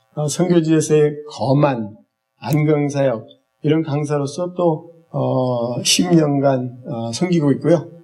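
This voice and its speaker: A man talks at a very slow pace in a fairly high pitch with ordinary pitch variation. Music plays in the background. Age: 60s. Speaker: eye health instructor, church minister. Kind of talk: lecture. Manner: halting, many fillers.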